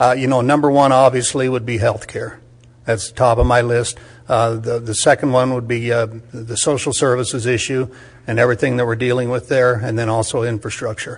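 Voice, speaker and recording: The speaker is a man at a medium pitch. His delivery is flat and monotone. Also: fairly quick pace. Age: 70s. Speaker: political candidate. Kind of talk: candidate forum statement. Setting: public forum in county commission chambers.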